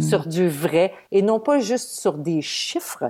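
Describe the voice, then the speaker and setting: A woman with an unremarkable speaking voice, medium pitch and lively intonation. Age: 50s. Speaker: social media influencer and former TV weather presenter. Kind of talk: casual interview.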